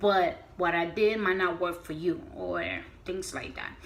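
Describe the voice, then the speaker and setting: A woman at medium pitch, moderate pace, with audible room echo. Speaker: beauty vlogger. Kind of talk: casual vlog tutorial. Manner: halting, with fillers.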